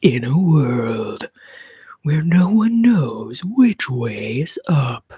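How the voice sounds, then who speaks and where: In a put-on character voice, a man speaks very slowly and dramatically, his fairly high pitch swinging very widely. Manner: dramatic, gravelly.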